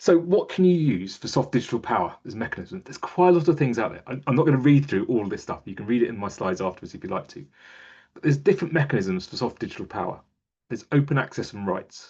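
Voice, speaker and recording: Over a quiet background, a man talks very fast in a fairly high, somewhat breathy voice, with very wide pitch swings and big swings in loudness. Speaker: museum digital strategist. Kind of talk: webinar presentation.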